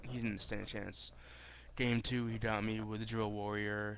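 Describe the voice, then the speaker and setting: A quiet man speaks at a moderate pace with fairly low pitch and a monotone, flat intonation. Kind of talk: casual talk to camera. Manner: rambling, hesitant.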